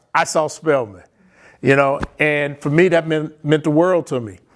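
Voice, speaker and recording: A man speaks in an ordinary speaking voice with an American accent, at a moderate pace and with fairly even intonation. The background is quiet. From US Midwest (Chicago, Michigan). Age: 60s. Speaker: guest speaker, abuse survivor. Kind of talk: testimony. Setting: virtual fundraising event.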